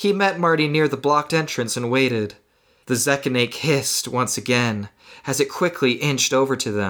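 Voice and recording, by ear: Ordinary rises and falls in pitch while reading aloud in a natural voice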